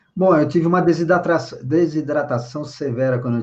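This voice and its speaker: Somewhat breathy and fairly high-pitched, a man talks at a moderate pace with lively intonation. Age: 60s. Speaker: spiritual leader. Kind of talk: interview.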